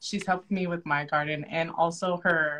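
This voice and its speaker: Her tone bright and sharp, a woman with a fairly low pitch speaks at a fairly slow pace. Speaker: interview host. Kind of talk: interview introduction. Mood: warm, enthusiastic. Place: home room. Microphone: video call.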